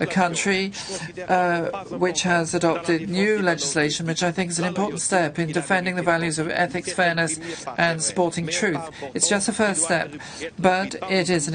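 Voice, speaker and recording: A woman speaks at a moderate pace in a fairly low voice. Her intonation stays fairly even, with noticeable background noise behind her. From Portugal. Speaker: parliamentarian. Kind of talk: parliamentary speech.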